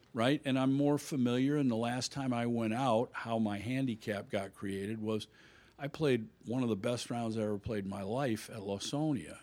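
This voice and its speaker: A man with an American accent and a normal speaking voice talks at a moderate pace and medium pitch, with ordinary pitch variation, in a very clean recording with a silent background. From Illinois. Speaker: golf instructor. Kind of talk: casual chat.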